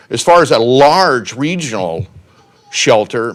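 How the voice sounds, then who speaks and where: The speech has lively intonation. There is noticeable background noise. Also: man. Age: 60s. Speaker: city council candidate. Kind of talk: public comment speech. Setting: city council meeting.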